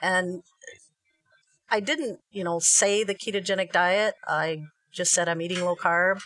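Music plays behind a woman speaking at a fairly slow pace. She leaves long, frequent pauses. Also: medium pitch for a woman, ordinary pitch variation. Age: 50s. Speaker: Facebook group admin and keto advocate. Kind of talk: recipe tutorial; casual chat.

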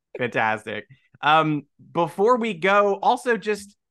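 Against a quiet background, a man with an American accent uses a raised, projected voice, high in pitch with a bright, sharp tone and very wide pitch swings. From New York. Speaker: podcast host. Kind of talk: interview.

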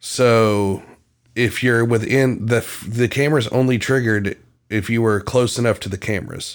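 Here is a man with a normal speaking voice at a medium pitch, talking at a moderate pace with fairly even intonation. The recording is very clean, with a silent background. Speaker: true crime podcast host. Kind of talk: casual banter. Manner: playful, joking.

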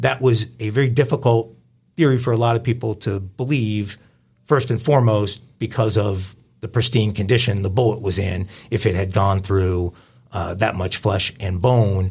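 Somewhat breathy, a man with an American accent speaks at a fairly low pitch and moderate pace with ordinary pitch variation. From New York. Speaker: true crime podcast host. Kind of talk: casual chat.

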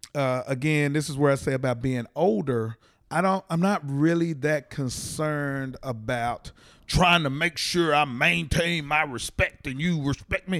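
Here is a man with a normal speaking voice and an American accent, pitched fairly high with ordinary pitch variation. He speaks at a fairly slow pace in a very clean recording with a silent background. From Texas, Fort Worth. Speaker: comedian. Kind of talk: casual chat. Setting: in a parked minivan used as studio.

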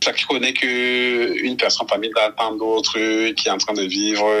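A man's medium-pitched voice with fairly even intonation and very even loudness, over music in the background. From Cameroon. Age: 30s. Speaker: NGO outreach worker. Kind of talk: interview testimony.

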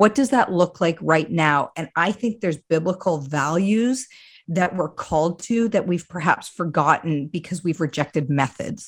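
A woman's normal speaking voice, fairly low in pitch with a Canadian accent and lively intonation, at a moderate pace on a very clean recording with a silent background. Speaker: ministry director. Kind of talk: interview.

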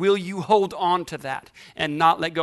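This man's voice is high-pitched and animated. His pitch varies an ordinary amount. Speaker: preacher. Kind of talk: sermon to a live congregation. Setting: church with audience. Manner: animated, call-and-response, exhorting the crowd; humorous, playful asides.

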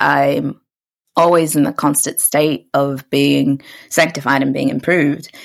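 A New Zealand accent comes through with vocal fry at a fairly slow pace. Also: woman. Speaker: podcast host. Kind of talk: casual chat.

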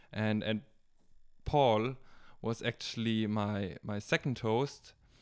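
A man speaks very slowly, his voice at a medium pitch. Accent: German. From Germany, Bavaria. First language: German. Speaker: gap-year volunteer and garden helper. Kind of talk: casual chat. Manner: halting.

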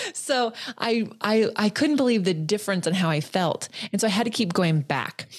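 With an American accent, a woman speaks at a medium pitch and a moderate pace, her intonation lively and her loudness very even. Noticeable background noise sits behind her. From California. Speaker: Pilates instructor and podcast host. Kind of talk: casual interview chat.

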